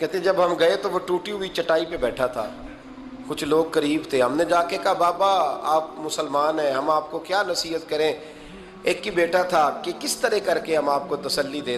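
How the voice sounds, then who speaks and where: Noticeable background noise runs under this recording. A man speaks with a high pitch and ordinary pitch variation. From Pakistan. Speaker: Islamic scholar and preacher. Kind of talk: religious sermon (bayan). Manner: emotional, storytelling.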